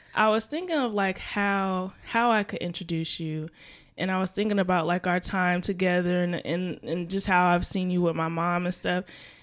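Here is a woman with an ordinary speaking voice, medium pitch and fairly even intonation. She talks at a moderate pace. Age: 20s. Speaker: podcast host. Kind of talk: casual interview chat.

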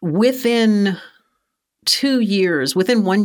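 The speaker is a woman with an American accent. The recording is very clean, with a silent background. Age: 50s. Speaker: seminary director and persecution expert. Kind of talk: interview conversation.

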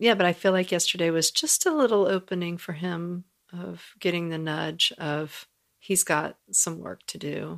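Speaking at a moderate pace with an ordinary speaking voice, a woman with a fairly low pitch keeps her intonation fairly even while her loudness swings widely. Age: 40s. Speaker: podcast co-host and beauty and transformational coach. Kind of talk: casual chat. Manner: laughs often.

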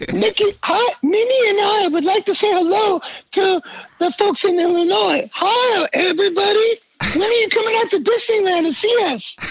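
Squeaky and extremely high-pitched, a man performs a put-on character voice. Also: moderate pace. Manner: cheerful, greeting fans.

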